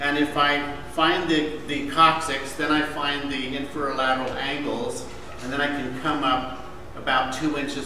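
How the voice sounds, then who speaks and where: A man at a fairly slow pace with fairly even intonation, audible room echo and noticeable background noise. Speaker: manual therapy instructor. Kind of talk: lecture demonstration. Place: classroom. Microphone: camera far.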